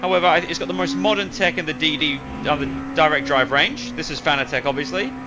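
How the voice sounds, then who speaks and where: Over music in the background, a man with an Australian accent speaks at a fairly high pitch with very wide pitch swings. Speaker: sim racing streamer. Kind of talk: live stream chat while gaming. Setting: home gaming rig, live stream.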